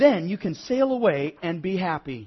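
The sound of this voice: At a moderate pace, a man puts on a high-pitched character voice with big pitch swings and a slightly husky edge.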